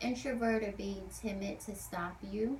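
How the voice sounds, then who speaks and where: Soft-spoken and fairly slow, a woman talks. Noticeable background noise can be heard. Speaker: esthetician. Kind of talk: advice talk to camera.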